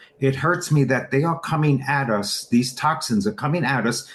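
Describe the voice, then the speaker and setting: An animated, somewhat breathy male voice against a quiet background. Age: 60s. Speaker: supplement distributor. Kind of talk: interview.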